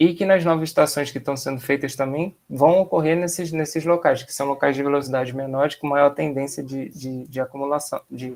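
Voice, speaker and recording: A man speaks with a fairly high pitch and big swings in loudness. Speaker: environmental engineer. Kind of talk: seminar Q&A. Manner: fast.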